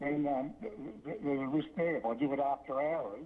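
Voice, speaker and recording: Talking at a moderate pace, a man with an Australian accent has a medium pitch. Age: 60s. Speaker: local shop owner giving public comment. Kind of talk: public comment at council meeting. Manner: halting, many fillers.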